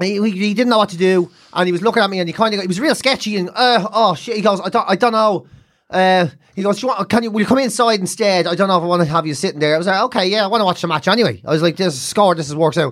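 The speaker talks at a very fast pace with an Irish accent. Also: man, high pitch for a man, ordinary pitch variation. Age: 40s. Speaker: comedian. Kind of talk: casual chat.

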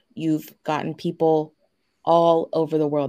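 A dark, mellow voice moves at a fairly slow pace with fairly even intonation in a very clean recording with a silent background. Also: woman. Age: 30s. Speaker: abuse survivor, tax office manager. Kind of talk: interview testimony.

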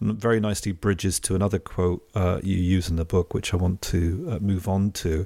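Heard in a very clean recording with a silent background, a man with an English accent and a very deep, low pitch talks at a fairly quick pace with fairly even intonation. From England. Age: 40s. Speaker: podcast host. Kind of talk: interview.

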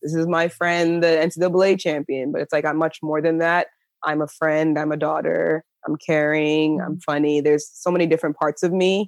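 Moderate pace against a quiet background. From New Jersey. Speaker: professional triple jumper. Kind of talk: interview.

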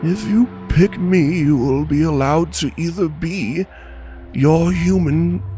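A man puts on a character voice, pitched fairly high and swinging very widely in pitch. He goes at a fairly slow pace while music plays clearly in the background. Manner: calm, formal, solemn.

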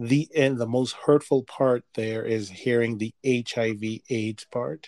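A man with an unremarkable speaking voice, medium pitch and fairly even intonation. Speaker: podcast co-host. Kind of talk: casual chat.

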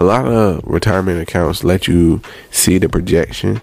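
A man's very deep, low voice with lively intonation over noticeable background noise. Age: 30s. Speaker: personal finance podcaster. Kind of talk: casual solo podcast monologue. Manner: conversational, repetitive.

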